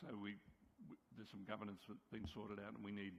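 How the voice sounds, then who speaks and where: In an Australian accent, a man speaks with a fairly low pitch and monotone, flat intonation. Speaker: subcommittee chair on an advisory board. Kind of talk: committee report presentation. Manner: hesitant, many fillers.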